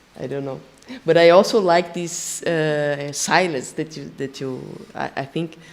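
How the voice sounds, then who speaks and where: Against noticeable background noise, a woman with a Brazilian Portuguese accent speaks fairly slowly in a very deep, low pitch, her intonation fairly even and her loudness swinging widely. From Brazil, São Paulo. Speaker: percussionist and singer. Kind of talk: panel discussion. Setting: stage with live audience. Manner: halting, many restarts.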